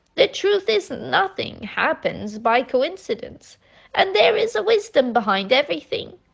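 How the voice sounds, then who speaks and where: This woman speaks in a put-on character voice. She pitches it high. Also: moderate pace. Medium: read story. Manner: gentle, affectionate, patient.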